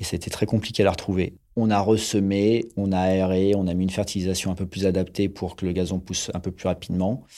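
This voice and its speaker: On a very clean recording with a silent background, a man talks in a fairly low pitch with a dark, mellow tone and fairly even intonation. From Paris region, France. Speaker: stadium groundskeeper. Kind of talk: interview. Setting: on the stadium pitch.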